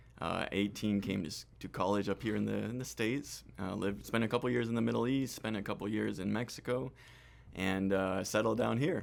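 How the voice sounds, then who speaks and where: Talking fairly quickly with vocal fry, a man with a Spanish accent keeps a fairly low pitch and ordinary pitch variation. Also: very clean recording, silent background. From Argentina and Costa Rica. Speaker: hospitality business manager. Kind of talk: interview. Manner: hesitant, many fillers.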